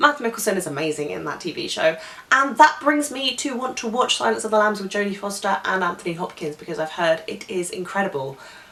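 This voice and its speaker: A woman with a British accent speaks at a fairly quick pace, her pitch swinging very widely over noticeable background noise. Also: big swings in loudness. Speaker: film vlogger. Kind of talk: casual vlog monologue.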